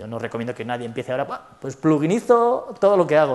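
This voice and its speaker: Speaking very fast, a man uses a fairly high pitch. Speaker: conference speaker, software developer. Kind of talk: conference talk with Q&A.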